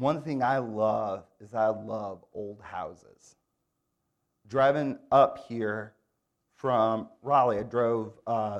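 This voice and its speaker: At a very slow pace, a man speaks in a medium-pitched voice with fairly even intonation. He leaves long, frequent pauses. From Michigan, Grand Rapids. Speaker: guest preacher. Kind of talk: sermon. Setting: church.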